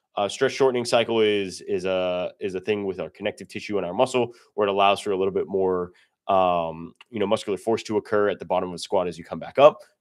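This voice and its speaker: A man's fairly low voice at a very fast pace, fairly even in intonation, over a quiet background. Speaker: powerlifting coach. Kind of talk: livestream tutorial. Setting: livestream. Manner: casual, filler-heavy.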